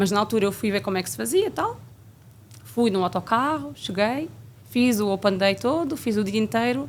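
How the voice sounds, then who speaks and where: Medium in pitch, a woman talks at a moderate pace. Her pitch swings very widely. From Portugal, Coimbra region. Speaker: flight attendant. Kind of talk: interview.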